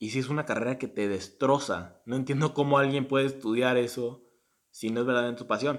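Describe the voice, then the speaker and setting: A man with an unremarkable speaking voice talks at a fairly quick pace, his medium pitch held in fairly even intonation. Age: 20s. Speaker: podcast co-host, university student. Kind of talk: casual chat.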